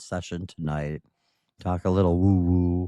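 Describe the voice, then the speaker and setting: Over a quiet background, a man speaks with a very deep, low pitch and a dark, mellow tone, the sound dry and close with no echo. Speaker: livestream host. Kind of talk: casual livestream talk.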